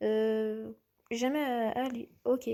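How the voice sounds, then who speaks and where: A woman's voice carries a dark, mellow tone. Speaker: youtuber. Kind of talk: casual quiz commentary. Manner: halting.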